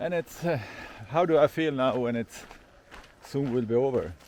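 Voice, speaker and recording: A man at medium pitch and a fairly slow pace, with long, frequent pauses over noticeable background noise. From Sweden. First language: Swedish. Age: 50s. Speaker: hiker vlogger. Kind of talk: vlog monologue. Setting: outdoors. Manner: halting.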